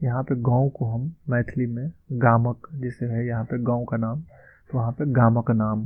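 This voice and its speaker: A man with a plain, everyday voice speaks at a medium pitch with fairly even intonation and hardly any pauses. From Madhubani, Bihar, India. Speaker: language teacher. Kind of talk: language lesson talk.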